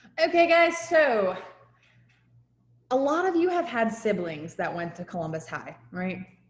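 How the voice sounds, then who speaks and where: The speaker has an American accent and very wide pitch swings. Audible room echo surrounds the voice. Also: woman. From New Jersey. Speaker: high school teacher. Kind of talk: lecture. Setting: video call. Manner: animated.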